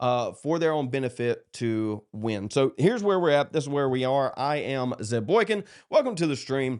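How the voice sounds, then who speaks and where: A man with a South Carolina accent, fairly high in pitch and lively in intonation, at a moderate pace with hardly any pauses, over a quiet background. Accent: Southern US (South Carolina). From US South, South Carolina (Dillon). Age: 30s. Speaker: political streamer. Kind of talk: livestream monologue. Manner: casual, halting with fillers.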